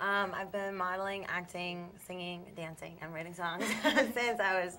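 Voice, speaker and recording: A woman with an American accent speaks in a bright, sharp tone at a moderate pace. Her intonation is fairly even, and room echo is audible. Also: medium pitch for a woman. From Long Island, New York. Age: 20s. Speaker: model and singer. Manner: hesitant, many fillers.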